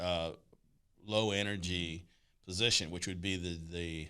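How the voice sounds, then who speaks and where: Over a very clean recording with a silent background, a man with a very deep, low pitch talks at a moderate pace with ordinary pitch variation. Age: 60s. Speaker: talk show host. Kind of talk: casual chat.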